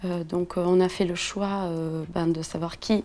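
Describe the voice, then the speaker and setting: A woman's fairly low, dark and mellow voice with flat, monotone intonation. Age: 30s. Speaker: entrepreneur. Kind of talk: interview. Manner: hesitant, many fillers.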